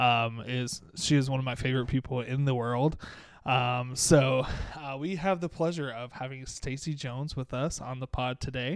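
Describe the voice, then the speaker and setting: A man with an ordinary speaking voice speaks at a moderate pace. His pitch is medium and his intonation fairly even. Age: 20s. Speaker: podcast host. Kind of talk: casual chat.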